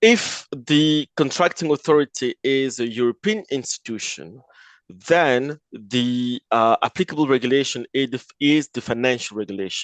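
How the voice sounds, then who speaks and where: A man with a French accent speaks at a medium pitch and moderate pace with lively intonation. The sound is dry and close with no echo, over a quiet background. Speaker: lawyer. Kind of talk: webinar presentation. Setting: online webinar. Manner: halting, with fillers.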